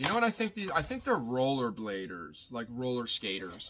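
Very wide pitch swings at a moderate pace, with noticeable background noise. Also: man. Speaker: online reseller. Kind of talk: casual vlog chat. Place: home room. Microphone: phone near.

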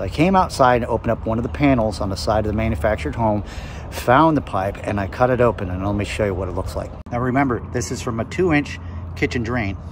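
A man talks at a very fast pace. Noticeable background noise runs beneath his voice. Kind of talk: casual vlog chat. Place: street. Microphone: phone near.

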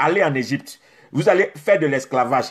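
Against a quiet background, a man speaks in an animated tone at a fairly high pitch. His pitch variation is ordinary. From Côte d'Ivoire. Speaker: preacher. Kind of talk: sermon. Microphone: phone near.

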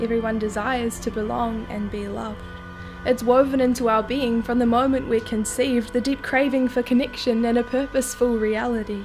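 With clear music in the background, a woman speaks at a fairly quick pace in a high, monotone voice with flat intonation. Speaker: spoken word poet. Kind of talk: spoken word poetry performance. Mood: earnest, reflective.

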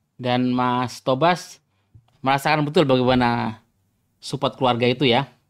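The background is quiet as a man delivers his words at a moderate pace, his intonation fairly even. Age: 40s. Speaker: podcast host. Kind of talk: interview. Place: home room. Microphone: video call.

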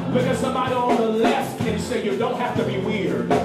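A man speaks at a moderate pace. Loud music plays behind him, and the room echo is audible. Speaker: visiting minister. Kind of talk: sermon. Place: hall.

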